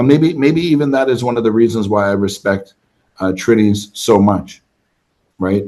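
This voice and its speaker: With a Canadian accent, a man speaks at a medium pitch and a moderate pace in a dark, mellow tone, his pitch varying in an ordinary way. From Canada, Toronto. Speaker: travel content creator. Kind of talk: interview.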